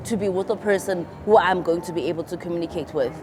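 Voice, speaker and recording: A woman with a South African accent, medium in pitch, at a fairly quick pace. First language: isiXhosa. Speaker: YouTuber. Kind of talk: storytime vlog, casual chat.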